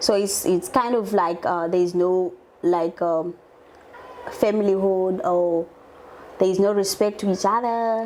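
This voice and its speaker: Speaking at a fairly slow pace in an African accent, a woman with a medium-pitched voice keeps her intonation fairly even and her loudness very even, leaving long, frequent pauses. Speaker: show host. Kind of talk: interview. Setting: studio. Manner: halting, repeats words.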